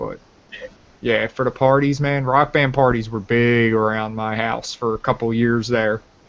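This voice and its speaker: A man's unremarkable speaking voice, pitched in the middle range, at an average speed and with rather level intonation. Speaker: gaming podcast host. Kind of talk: casual chat.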